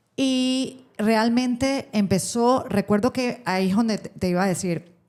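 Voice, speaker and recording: A Panamanian accent with ordinary pitch variation, on a very clean recording with a silent background. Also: woman. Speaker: radio host and social communicator. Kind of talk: interview answer.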